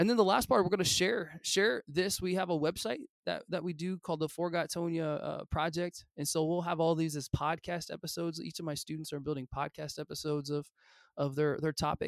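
A man with a high-pitched voice speaks at a fairly quick pace, his sound dry and close with no echo. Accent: Midwestern American. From US Midwest, Illinois. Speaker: high school history teacher. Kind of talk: interview. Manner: casual, enthusiastic.

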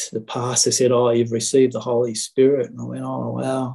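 Here a man talks at a moderate pace. He has an Australian accent. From Sydney, Australia. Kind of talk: testimony. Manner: halting.

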